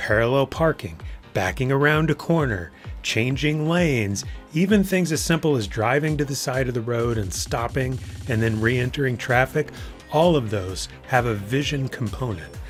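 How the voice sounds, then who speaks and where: Music plays behind a man speaking at a medium pitch. His intonation is lively and his pace moderate. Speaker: driving test prep instructor. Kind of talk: instructional tutorial to camera.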